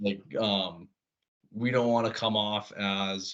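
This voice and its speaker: With an American accent, a man speaks at a fairly low pitch. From North Dakota, US. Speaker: college baseball pitcher. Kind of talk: casual interview chat.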